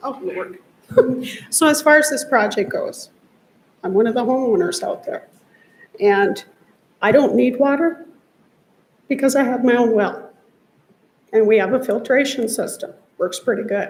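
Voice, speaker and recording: Nervous and shaky, the speaker goes at a moderate pace, broken by long, frequent pauses. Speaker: homeowner speaking at public comment. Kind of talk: public comment at council meeting. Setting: council chamber at microphone. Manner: shaky, nervous voice.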